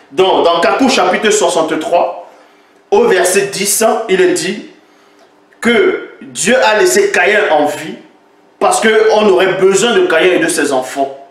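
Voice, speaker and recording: A man with a high voice speaks very slowly, with long, frequent pauses and ordinary pitch variation. Audible room echo and noticeable background noise are present. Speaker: religious commentator. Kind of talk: polemical critique video. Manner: animated.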